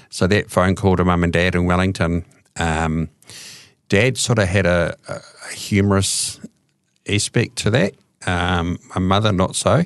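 With a New Zealand accent, a man speaks fairly slowly in a very deep, low pitch, with fairly even intonation, long, frequent pauses and a dry, close sound with no echo. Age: 50s. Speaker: addiction counsellor and recovering alcoholic. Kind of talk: testimony. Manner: hesitant, many fillers.

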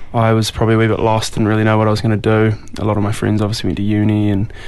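Speaking very fast with a New Zealand accent, a man comes through over noticeable background noise. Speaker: musician. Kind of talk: casual interview. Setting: radio studio. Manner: halting, many fillers.

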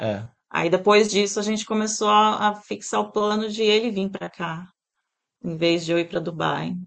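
This woman has an ordinary speaking voice at medium pitch, talking at a moderate pace with fairly even intonation. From Brazil, Santos (São Paulo state). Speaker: pet groomer and salon owner. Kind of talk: interview.

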